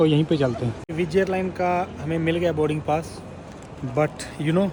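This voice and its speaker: With clear background noise underneath, a man talks fairly high in pitch, his intonation staying fairly even. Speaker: travel vlogger. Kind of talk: travel vlog narration. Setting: airport. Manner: casual, conversational.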